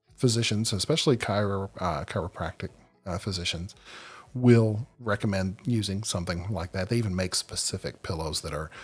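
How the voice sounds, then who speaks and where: A man talks in a very deep, low voice at a moderate pace. Music plays in the background. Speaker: sleep podcast host. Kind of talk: podcast monologue. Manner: halting, many fillers.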